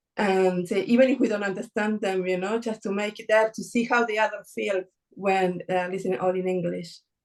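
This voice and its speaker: A woman with an Argentine accent talks at a fairly quick pace in a medium pitch with fairly even intonation. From Argentina. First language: Spanish. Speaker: workshop participant, academic. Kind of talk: online panel discussion.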